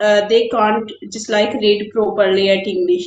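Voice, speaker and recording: A woman speaks at a fairly slow pace in a fairly high pitch. Room echo is audible. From Haryana, India, village area. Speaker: homemaker. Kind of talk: casual chat. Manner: halting.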